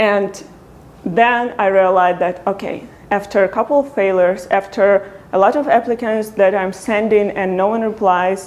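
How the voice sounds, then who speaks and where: Over noticeable background noise, a woman talks at a moderate pace with a non-native accent. Her pitch is medium and her intonation fairly even. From Ukraine. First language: Ukrainian. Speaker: product designer. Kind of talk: talk to meetup audience.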